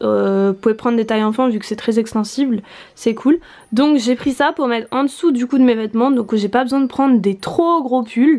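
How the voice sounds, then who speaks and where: A fairly high-pitched woman at a fairly quick pace, with an ordinary speaking voice and ordinary pitch variation. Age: 20s. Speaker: vlogger. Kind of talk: casual tutorial. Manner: casual, with fillers.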